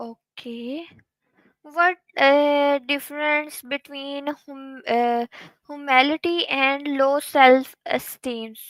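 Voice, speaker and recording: Speaking with a Pakistani accent, a woman talks at a very slow pace in a high pitch, her loudness swinging widely, in a dry, close sound with no echo on a very clean recording with a silent background. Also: fairly even intonation. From Pakistan, Punjab (Kasur). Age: young. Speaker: content creator. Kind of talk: interview. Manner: halting.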